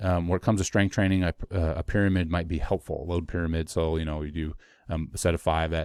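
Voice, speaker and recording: Very fast speech from a man with a very deep, low pitch is captured in a dry, close sound with no echo on a very clean recording with a silent background. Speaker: fitness coach / educator. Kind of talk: educational monologue. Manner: rambling with fillers.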